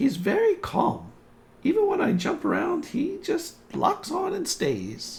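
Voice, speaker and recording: A man performs a put-on character voice that is squeaky and extremely high-pitched. He delivers it at a fairly slow pace. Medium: actual play. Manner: warm, enthusiastic.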